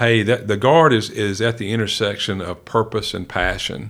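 Speaking at a moderate pace with a Southern US accent, a man has a fairly low pitch and fairly even intonation. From rural West Tennessee. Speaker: senior military officer. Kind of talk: interview.

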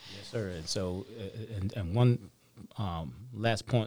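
On a very clean recording with a silent background, a man with a Southern US accent speaks at a fairly low pitch with lively intonation. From Mississippi, US South. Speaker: senior enlisted army leader. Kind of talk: interview.

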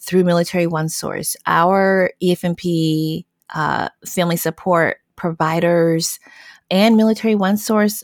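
Recorded very cleanly against a silent background, a woman with a plain, everyday voice speaks at a fairly slow pace, her fairly low pitch carried by fairly even intonation in a dry, close sound with no echo. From US South. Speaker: social worker, program analyst. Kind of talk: conversational interview.

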